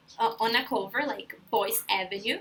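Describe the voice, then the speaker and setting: A woman speaks with a Brazilian accent. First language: Portuguese. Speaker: language school intern. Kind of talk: tutorial. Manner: casual, friendly.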